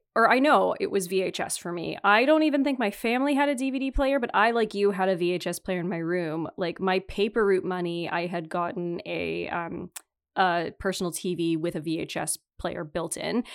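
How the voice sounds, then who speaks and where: A woman with a normal speaking voice and a Canadian accent, lively in intonation, at a moderate pace, on a very clean recording with a silent background. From Northern Ontario, Canada. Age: 30s. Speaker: podcast host. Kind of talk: casual chat.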